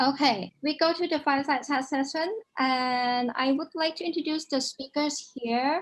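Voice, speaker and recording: With a quiet background, a woman talks at a high pitch and a moderate pace, using ordinary pitch variation. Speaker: founder of a digital rights organization, event host. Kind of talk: report presentation at an online launch event.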